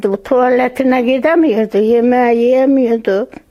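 A woman with a high pitch speaks at a very slow pace and in fairly even intonation, with noticeable background noise behind her. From Andırın, Osmaniye, southern Turkey. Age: 80s+. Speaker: earthquake survivor. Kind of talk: interview answer.

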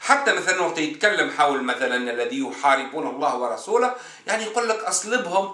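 A man's raised, projected voice with a Tunisian accent, high-pitched and fairly quick, swinging very widely in pitch, with audible room echo and noticeable background noise. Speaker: atheist video commentator. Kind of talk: monologue lecture to camera.

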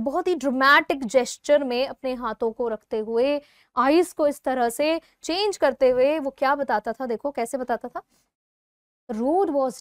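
Fairly slow speech with ordinary pitch variation over a quiet background. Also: woman. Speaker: English teacher. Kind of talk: lecture. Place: studio. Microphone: lapel.

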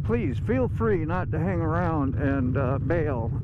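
Loud background noise sits under a man's voice, though the sound itself is dry with no echo. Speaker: motorcycle vlogger. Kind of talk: casual vlog chat. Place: motorbike. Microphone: phone near.

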